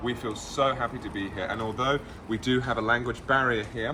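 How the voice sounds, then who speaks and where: At a fairly quick pace, a man speaks with ordinary pitch variation amid noticeable background noise and audible room echo. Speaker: travel vlogger. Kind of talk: casual vlog chat. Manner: loud.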